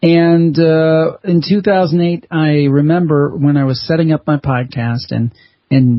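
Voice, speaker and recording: A man is speaking. His voice is somewhat breathy. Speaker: podcaster and author. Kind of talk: interview answer.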